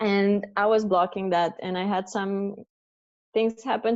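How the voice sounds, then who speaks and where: A woman's medium-pitched voice with a Romanian accent. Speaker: coaching client. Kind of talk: testimony. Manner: loud; expressive.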